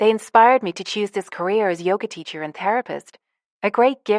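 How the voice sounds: Quiet background, a natural reading voice, ordinary pitch variation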